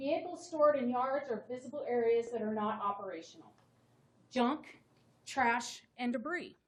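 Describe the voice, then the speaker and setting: A woman with a high pitch and lively intonation speaks loudly at a moderate pace. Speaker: town code enforcement officer. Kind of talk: staff presentation to town council. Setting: town council meeting.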